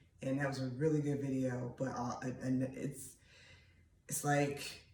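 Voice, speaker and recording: A man's fairly high voice rings with audible room echo. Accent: American. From Pennsylvania. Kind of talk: casual monologue vlog.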